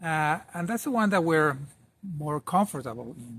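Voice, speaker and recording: A man with a fairly high pitch speaks at a fairly slow pace, with ordinary pitch variation. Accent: Argentinian. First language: Spanish (Argentinian). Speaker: podcast host. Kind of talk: video essay monologue. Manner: halting, many fillers and repetitions.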